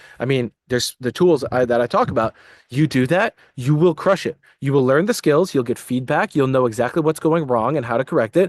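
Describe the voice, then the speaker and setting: A man speaks at a fairly quick pace in a medium pitch, with ordinary pitch variation. The sound is dry and close with no echo, over a quiet background. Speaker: entrepreneur and self-development coach. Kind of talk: motivational talk to camera. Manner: fast; animated.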